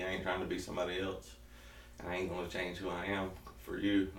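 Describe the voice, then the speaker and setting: In a Southern US accent, the speaker talks at a very fast pace. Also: man. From South Georgia, US. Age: 30s. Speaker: keto diet vlogger. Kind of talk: casual talk to camera. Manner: energetic, joking.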